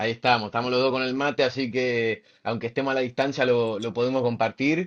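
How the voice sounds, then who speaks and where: Here a man speaks fairly quickly, his pitch medium and his intonation fairly even. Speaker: podcast host, former rugby player. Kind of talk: interview. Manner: halting, many fillers.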